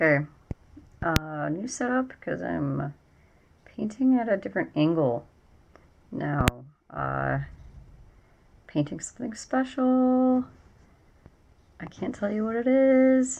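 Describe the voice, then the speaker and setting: Mumbling at a very slow pace, a woman speaks in a medium pitch with very wide pitch swings. She takes long, frequent pauses. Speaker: painter and writer. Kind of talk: casual talk while painting.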